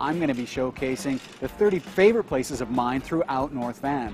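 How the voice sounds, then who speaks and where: With clear music in the background, a man speaks in a dry sound with no echo. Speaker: realtor host. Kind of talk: promotional vlog intro. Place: street. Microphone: phone near.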